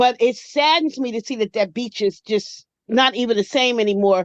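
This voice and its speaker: Using a plain, everyday voice, a woman with an American accent speaks at a fairly high pitch. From Atlantic City, New Jersey. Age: 60s. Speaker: caller. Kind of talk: call-in comment.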